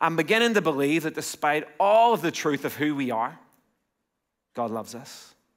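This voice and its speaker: A man with an Irish accent speaks in a fairly high pitch with lively intonation. His pace is moderate, with long, frequent pauses over a quiet background. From Ireland. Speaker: pastor. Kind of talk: sermon. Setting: church. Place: church. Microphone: headset.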